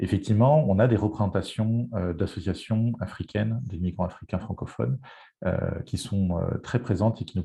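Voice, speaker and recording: Over a quiet background, a man talks at a moderate pace in a fairly low, somewhat breathy voice with ordinary pitch variation. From France. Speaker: health network representative, panelist. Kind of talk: panel presentation. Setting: online event. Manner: hesitant, many fillers.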